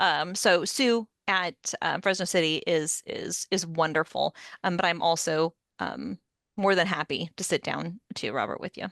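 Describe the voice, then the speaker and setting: A woman speaks at a fairly low pitch with vocal fry. Her pitch varies in an ordinary way against a quiet background. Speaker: instructional designer. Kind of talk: workshop presentation with Q&A. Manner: fast.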